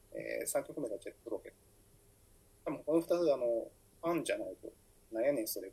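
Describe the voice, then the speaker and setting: A man at a very fast pace, with big swings in loudness and long, frequent pauses. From Fukuoka, Japan. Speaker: writer and editor. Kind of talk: solo podcast monologue. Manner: halting, many fillers.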